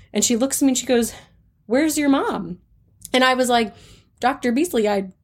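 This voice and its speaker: On a very clean recording with a silent background, a woman with an ordinary speaking voice talks at a fairly quick pace, fairly high in pitch with ordinary pitch variation. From North Carolina, US South. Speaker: music therapist. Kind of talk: interview.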